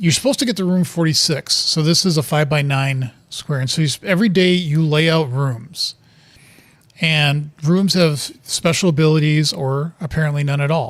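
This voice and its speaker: A man with a fairly high pitch, a moderate pace and an ordinary speaking voice. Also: ordinary pitch variation. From US Midwest (Wisconsin). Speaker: video game streamer. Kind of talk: gameplay commentary. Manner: casual, with fillers and restarts.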